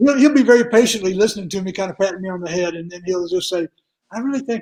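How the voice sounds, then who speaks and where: A man with a high pitch talks very fast, his pitch varying in an ordinary way. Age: 70s. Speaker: martial arts tournament promoter. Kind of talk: casual interview.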